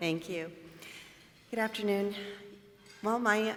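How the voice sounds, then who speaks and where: A woman with an American accent, plus audible room echo and noticeable background noise. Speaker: bank mortgage manager. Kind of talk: panel introduction.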